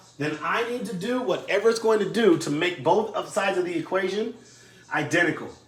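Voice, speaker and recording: A man talks at a moderate pace with lively intonation. Noticeable background noise runs underneath. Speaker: math teacher. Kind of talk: tutorial. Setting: recorded video lesson for distance learning.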